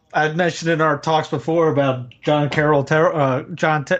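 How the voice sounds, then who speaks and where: A man with a Southern US accent and a fairly high pitch, over noticeable background noise. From US South. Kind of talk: casual conversation on livestream. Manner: animated.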